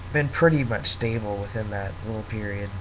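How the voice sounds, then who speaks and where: Audible room echo and noticeable background noise fill the recording. A man talks at a fairly quick pace with ordinary pitch variation. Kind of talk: casual vlog monologue. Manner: hesitant, many fillers.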